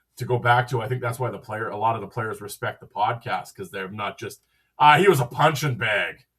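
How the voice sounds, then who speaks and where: A man speaks with a Canadian Prairies accent. His loudness swings a lot. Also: medium pitch for a man, ordinary pitch variation, fairly quick pace. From Western Canada, Saskatchewan. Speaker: hockey podcaster. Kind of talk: casual chat.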